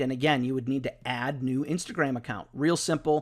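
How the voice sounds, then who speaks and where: A man speaks at a fairly quick pace, and the recording is very clean with a silent background. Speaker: digital marketing instructor. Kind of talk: tutorial. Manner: fast.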